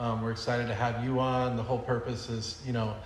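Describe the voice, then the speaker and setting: Against noticeable background noise and audible room echo, a man speaks in a flat monotone. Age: 30s. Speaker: podcast host, military veteran. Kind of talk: podcast interview.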